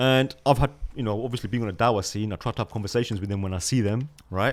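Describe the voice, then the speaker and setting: This man has a British accent and a medium pitch, with ordinary pitch variation. He talks at a very fast pace in an animated tone. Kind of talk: casual discussion.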